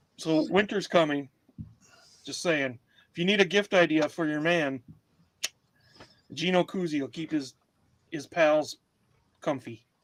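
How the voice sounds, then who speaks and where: A fairly high-pitched man with a Wisconsin accent, fairly slow pace, long, frequent pauses, big swings in loudness and ordinary pitch variation. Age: middle-aged. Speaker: comedy podcast co-host and reseller. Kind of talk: casual chat. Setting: livestream. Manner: animated.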